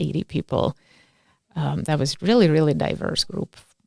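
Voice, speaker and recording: In a Lithuanian accent, a woman speaks at a moderate pace with a very deep, low pitch and vocal fry, the sound dry and close with no echo. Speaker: community organizer. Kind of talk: interview. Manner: animated.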